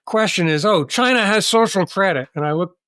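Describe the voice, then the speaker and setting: Dry and close with no echo, a man's voice carries an American accent and ordinary pitch variation. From United States. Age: 60s. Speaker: author and former banker. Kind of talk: interview. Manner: animated.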